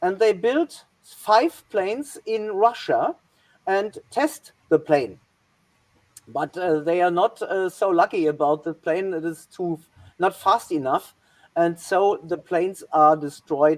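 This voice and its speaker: A woman's medium-pitched voice with a German accent and lively intonation, at a very slow pace. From Germany. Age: 60s. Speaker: historian. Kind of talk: presentation. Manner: halting.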